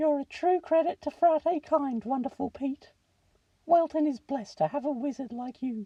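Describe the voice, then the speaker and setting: At a moderate pace, a woman performs in a high-pitched, put-on character voice. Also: ordinary pitch variation. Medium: read story. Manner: bossy, pompous.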